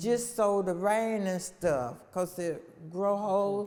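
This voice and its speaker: Speaking very slowly in an American accent, a woman uses a medium pitch with ordinary variation. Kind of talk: interview answer.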